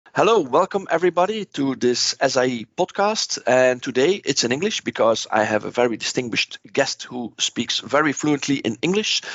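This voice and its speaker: Speaking with a Dutch accent, a man goes at a moderate pace with hardly any pauses, his fairly high pitch making very wide swings. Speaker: podcast host. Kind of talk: interview.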